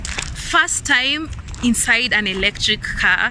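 Over noticeable background noise, a woman speaks with lively intonation in a dry sound with no echo. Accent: Kenyan. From Kenya. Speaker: vlogger. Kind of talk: vlog. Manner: animated. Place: street. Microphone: phone near.

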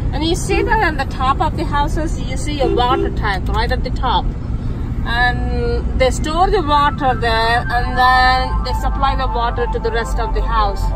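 Loud background noise beneath a woman's fairly slow delivery. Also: dry sound with no echo. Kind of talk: casual vlog chat. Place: car. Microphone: phone near.

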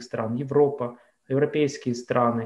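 In a quiet background, a man with a fairly high pitch speaks at a fairly slow pace. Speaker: moderator. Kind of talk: moderated discussion. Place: home room. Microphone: video call.

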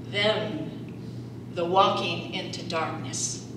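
A woman with an American accent at a very slow pace, amid noticeable background noise and audible room echo. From Salt Lake City, Utah. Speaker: performance poet. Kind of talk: poetry reading. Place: meeting room.

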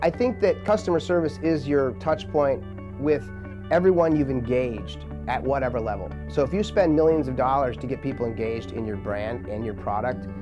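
Fairly quick speech with clear music in the background. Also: man. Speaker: interviewee. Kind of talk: interview answer. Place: studio. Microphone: lapel.

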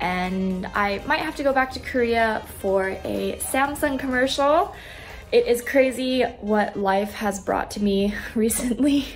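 With music in the background, a woman speaks at a fairly slow pace with ordinary pitch variation. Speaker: travel blogger. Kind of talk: casual talk to camera.

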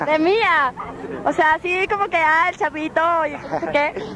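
An extremely high-pitched woman's raised, projected voice, excited in tone, at a fairly slow pace with very even loudness, ordinary pitch variation, and crowd noise in the background. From Mexico. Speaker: actress, host and voice-over artist. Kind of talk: on-location interview at a concert. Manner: excited, casual.

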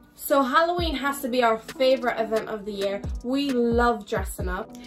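Over clear music in the background, a woman with a high pitch talks at a moderate pace with ordinary pitch variation. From Ireland. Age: young. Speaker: web series host. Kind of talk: casual talk to camera. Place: home room.

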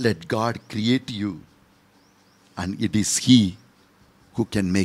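Very slowly, a man talks at a fairly low pitch. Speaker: priest. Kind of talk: sermon with story and closing prayer; fervent prayer. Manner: earnest, pleading, devout. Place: studio. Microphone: studio mic.

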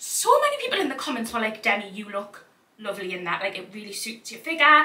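Talking fast in a Geordie accent, a woman with a medium pitch and a bright, sharp tone makes big pitch swings, with audible echo in the room.

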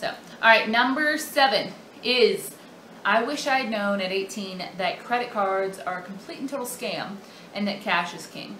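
Talking at a fairly slow pace, a woman uses ordinary pitch variation. Audible room echo and light background noise are in the clip. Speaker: personal finance vlogger. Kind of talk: casual vlog monologue. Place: home room. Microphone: webcam.

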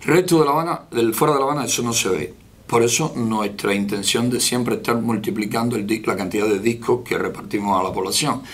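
A plain, everyday voice talks at a fairly quick pace with lively intonation. There are hardly any pauses. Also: man, medium pitch for a man. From Cuba, rural Santiago de Cuba province. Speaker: opposition leader. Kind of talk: interview.

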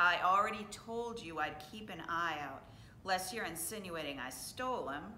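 Plain reading aloud, with ordinary pitch variation.

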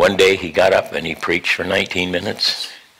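Moderately paced male speech amid noticeable background noise. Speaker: pastor. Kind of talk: sermon.

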